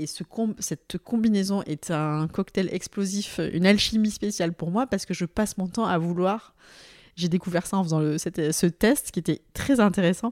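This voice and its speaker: An ordinary speaking voice moves at a moderate pace with ordinary pitch variation. The recording is very clean, with a silent background and a dry, close sound with no echo. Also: woman, medium pitch for a woman. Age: 30s. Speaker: HR director. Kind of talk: casual chat. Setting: at guest's home.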